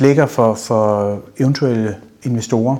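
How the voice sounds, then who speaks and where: The man speaks at a very slow pace with ordinary pitch variation. Noticeable background noise runs underneath. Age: 50s. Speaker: business owner. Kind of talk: interview.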